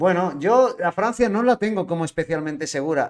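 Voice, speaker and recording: A man speaks at a fairly quick pace with ordinary pitch variation and a plain, everyday voice, in a very clean recording with a silent background. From Spain, L'Hospitalet (Barcelona). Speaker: podcast host and van-life traveller. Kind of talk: casual chat. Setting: live-streamed podcast.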